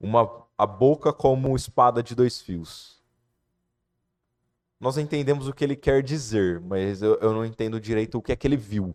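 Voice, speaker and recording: With long, frequent pauses, a man speaks at a medium pitch with ordinary pitch variation against a quiet background. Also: moderate pace, dry, close sound with no echo. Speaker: lay preacher. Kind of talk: sermon.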